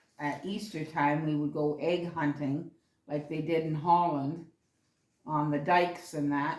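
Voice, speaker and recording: A woman speaks in a very deep, low pitch with monotone, flat intonation and audible room echo. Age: 70s. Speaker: grandmother interviewed by grandchild. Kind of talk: casual interview. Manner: halting.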